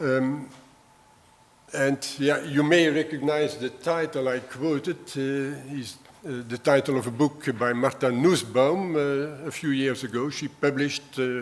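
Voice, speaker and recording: Against noticeable background noise, a man with a southern Dutch accent speaks fairly slowly at a fairly high pitch, keeping his intonation fairly even. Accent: southern Dutch-speaker. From Belgium (Flanders). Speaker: retired history professor. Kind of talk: lecture. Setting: university lecture hall. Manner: hesitant, many fillers.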